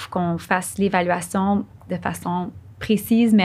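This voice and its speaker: In a very clean recording with a silent background, a woman talks at medium pitch in a somewhat breathy voice. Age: young. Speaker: neurologist. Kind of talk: interview.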